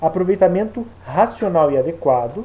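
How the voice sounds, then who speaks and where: A man speaks with a Brazilian accent and a dark, mellow tone. His intonation is lively. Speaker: teacher. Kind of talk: lecture. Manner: casual.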